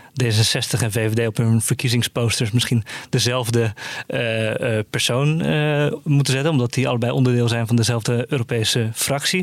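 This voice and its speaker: A man speaks at a medium pitch and a moderate pace, with ordinary pitch variation. His loudness stays very even, there are hardly any pauses, and it is an unremarkable speaking voice. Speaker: journalist. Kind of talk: casual news discussion.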